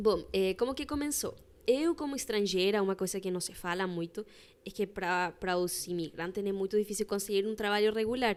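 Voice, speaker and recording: A woman's medium-pitched voice, fairly quick, with ordinary pitch variation. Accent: Spanish. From Chilean Patagonia. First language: Spanish (speaking Portuguese). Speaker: embroiderer. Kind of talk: casual chat.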